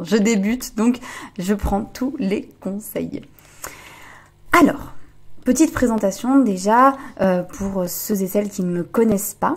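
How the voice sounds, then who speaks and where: Somewhat breathy, a woman's medium-pitched voice shows ordinary pitch variation. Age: 20s. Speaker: relationship coach and podcaster. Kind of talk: podcast monologue. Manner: hesitant, many fillers.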